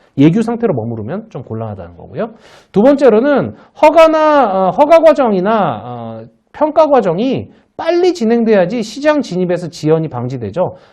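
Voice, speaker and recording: With the background quiet, the talking proceeds at a moderate pace. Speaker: law professor. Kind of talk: lecture. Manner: halting, many fillers.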